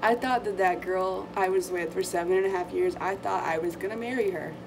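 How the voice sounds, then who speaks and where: A woman's medium-pitched voice at a moderate pace with fairly even intonation, with noticeable background noise and audible room echo. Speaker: vlogger. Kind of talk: casual chat. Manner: halting.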